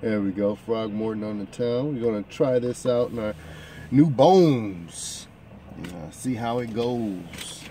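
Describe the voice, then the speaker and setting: A man at a very slow pace, dry with no echo, with light background noise. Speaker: pipe smoker vlogger. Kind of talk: casual vlog chat. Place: car. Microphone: phone near.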